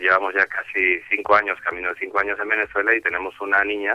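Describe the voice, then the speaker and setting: A man's fairly low voice with a Spanish accent. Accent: Spanish (Spain). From Spain, Galicia. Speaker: bank executive and author. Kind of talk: radio interview.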